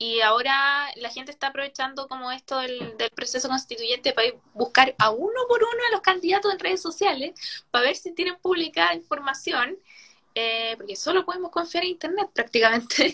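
With a Chilean accent, a woman uses a raised, projected voice at a high pitch, with very wide pitch swings and a fairly quick pace. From Chile, O'Higgins region. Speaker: writer and law student. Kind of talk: casual interview chat.

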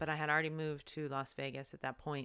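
Here a woman talks in a very deep, low pitch. The background is silent on this very clean recording. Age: 40s. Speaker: yoga teacher and podcast host. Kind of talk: personal storytelling monologue. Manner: casual, with laughs and filler words.

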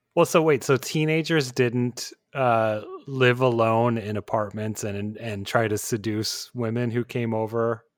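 In a plain, everyday voice, a man talks at a fairly slow pace, his medium pitch varying in an ordinary way. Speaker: podcast co-host. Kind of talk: casual interview.

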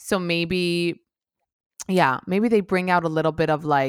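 In a very clean recording with a silent background and a dry, close sound with no echo, a woman with an ordinary speaking voice and a fairly low pitch speaks at a fairly slow pace. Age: 30s. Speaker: podcast host. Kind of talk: casual chat.

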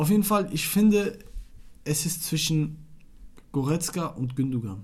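A somewhat breathy man speaking very slowly, with lively intonation. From Iraq. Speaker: football podcast co-host. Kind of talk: casual chat.

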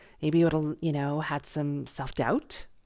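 This woman's pitch is very deep and low. She keeps a moderate pace. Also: very clean recording, silent background. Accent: American. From US, Buffalo, New York. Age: 40s. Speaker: podcast host. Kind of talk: casual monologue. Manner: animated; halting.

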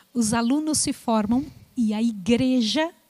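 The speaker goes at a very slow pace with ordinary pitch variation, the sound dry and close with no echo. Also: woman. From Brazil. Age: 60s. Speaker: missionary. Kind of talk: testimony.

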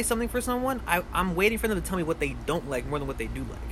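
A man rattles off his words very fast with noticeable noise in the background. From New Orleans, Louisiana. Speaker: musician. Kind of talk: casual chat. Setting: outdoors, backyard.

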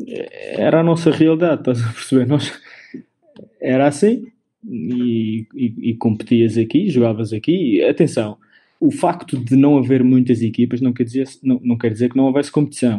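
Ordinary pitch variation and a moderate pace in a dark, mellow tone. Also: man, medium pitch for a man. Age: 30s. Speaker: professional basketball player. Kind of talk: interview.

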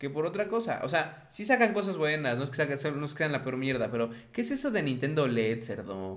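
Hardly pausing, a man with fairly high pitch talks at a fairly quick pace. His very wide pitch swings carry audible room echo. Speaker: video game podcast host. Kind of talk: casual chat.

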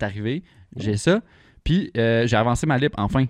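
Against a quiet background, a man with a Quebec accent speaks at a fairly slow pace at medium pitch with ordinary pitch variation. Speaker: car podcast host. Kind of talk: casual chat.

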